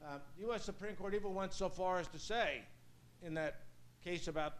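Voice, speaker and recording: Someone with a New York accent speaks at a fairly quick pace amid audible room echo. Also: man. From US Northeast, Brooklyn, New York. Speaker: law professor. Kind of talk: lecture. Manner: fast.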